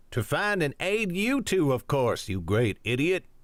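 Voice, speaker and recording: Putting on a growling character voice, a man speaks at a moderate pace with a fairly high pitch, very wide pitch swings and very even loudness. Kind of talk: scolding, affectionate. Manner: growling, exasperated.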